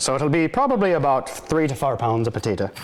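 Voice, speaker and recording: Over noticeable background noise, a man with an Irish accent speaks at a fairly high pitch. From Ireland, County Cork. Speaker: firefighter. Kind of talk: cooking demonstration. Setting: fire station kitchen. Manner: hesitant, with fillers.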